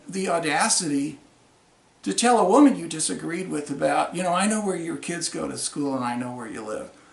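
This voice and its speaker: The man's pitch swings very widely as he talks at a moderate speed. Noticeable noise can be heard behind him. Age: 60s. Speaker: congressional candidate and Vietnam veteran. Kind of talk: political video monologue. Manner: angry, confrontational.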